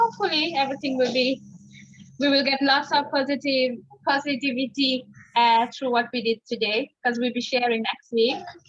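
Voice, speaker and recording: At a moderate pace, a woman speaks with a high pitch and fairly even intonation. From Mauritius. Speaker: webinar participant. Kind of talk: casual chat.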